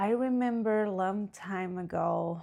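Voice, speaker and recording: This woman speaks with a Spanish accent. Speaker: podcast host, spiritual coach. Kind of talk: casual podcast monologue.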